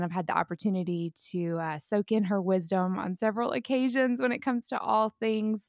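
At a fairly quick pace, a woman talks in an unremarkable speaking voice, the sound dry and close with no echo. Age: 30s. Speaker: podcast host. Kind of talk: casual interview chat.

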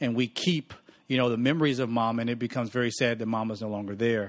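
With an American accent and an ordinary speaking voice, a man talks at a fairly quick pace and medium pitch, with ordinary pitch variation against a quiet background. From US South, Mississippi. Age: 30s. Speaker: pastor. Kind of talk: casual chat.

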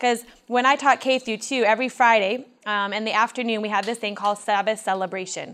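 Talking at a very fast pace, a woman with a Midwestern American accent has a fairly high pitch and fairly even intonation. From Michigan, US. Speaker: teacher and outdoor educator. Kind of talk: seminar talk at camp meeting. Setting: meeting hall with audience.

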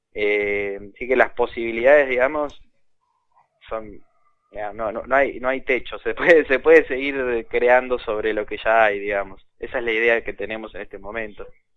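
At a moderate pace, a man with medium pitch and a normal speaking voice talks with fairly even intonation and big swings in loudness. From Argentina. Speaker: inventor of educational electronics kits. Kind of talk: interview. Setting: phone call.

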